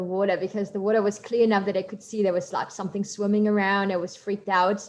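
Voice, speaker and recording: A woman's medium-pitched voice with a German accent. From Germany, coal mining town. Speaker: marine biologist. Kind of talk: guest talk in online workshop.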